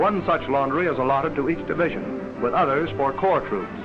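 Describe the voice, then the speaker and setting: A man talks at a fairly quick pace in an upbeat tone. Music is playing behind him. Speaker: newsreel narrator. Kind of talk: newsreel narration. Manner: brisk, upbeat.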